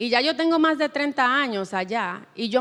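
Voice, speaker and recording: With a Spanish accent, a woman speaks at a moderate pace using lively intonation. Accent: noticeable Spanish accent in English. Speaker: writer. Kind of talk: panel discussion. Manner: halting.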